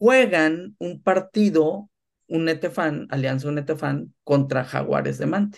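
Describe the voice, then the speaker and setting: A man's unremarkable speaking voice, fairly high in pitch, with lively intonation. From northern Mexico, Tamaulipas. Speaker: sports business executive. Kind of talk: interview.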